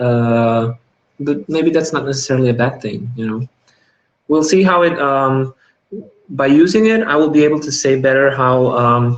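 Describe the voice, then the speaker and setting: A man with a non-native accent speaks at a moderate pace and fairly high pitch, with ordinary pitch variation and long, frequent pauses. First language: not English. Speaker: gaming youtuber. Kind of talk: live unboxing video. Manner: hesitant, many fillers.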